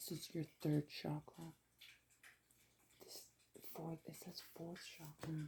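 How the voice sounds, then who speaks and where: A woman speaks quietly and somewhat breathily with a very deep, low pitch, a dark, mellow tone and monotone, flat intonation. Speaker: tarot reader. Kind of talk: tarot reading. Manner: quiet, low voice.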